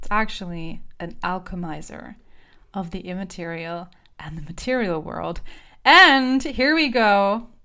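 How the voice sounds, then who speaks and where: A woman's bright, sharp, animated voice with a German accent, medium pitch, lively intonation, a fairly slow pace and big swings in loudness. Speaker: podcast host and voice coach. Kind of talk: solo podcast monologue.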